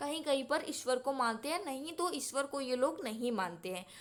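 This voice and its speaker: A woman's high-pitched voice with lively intonation in a very clean recording with a silent background. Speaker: exam-prep teacher. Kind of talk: lecture. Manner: slow.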